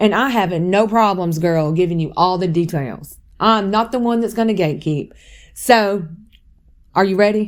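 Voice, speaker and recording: A woman speaks in a Southern US accent at a medium pitch. Her pace is moderate and her pitch variation ordinary. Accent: Southern US (Georgia). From US South, West Georgia. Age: 40s. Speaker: podcast host and content creator. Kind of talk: casual personal testimony podcast. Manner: chatty, conversational.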